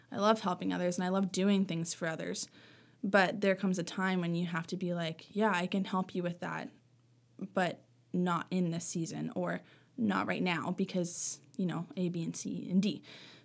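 In a very clean recording with a silent background, a woman with a fairly low voice speaks at a moderate pace with fairly even intonation. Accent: Maritime Canadian. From Nova Scotia, Canada (Halifax area). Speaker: teacher's aide. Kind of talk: casual chat.

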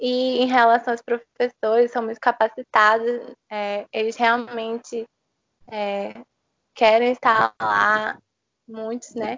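The woman's pitch is fairly high, with monotone, flat intonation. Her pace is very slow. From Brazil, Recife (Pernambuco). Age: 20s. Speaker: law student. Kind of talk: interview. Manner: halting, many fillers.

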